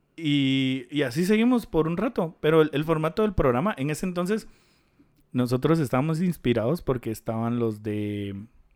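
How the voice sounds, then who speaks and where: In a very clean recording with a silent background, a man with a Guatemalan accent talks at a moderate pace and a fairly high pitch, with very wide pitch swings. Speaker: podcast co-host. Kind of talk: casual chat.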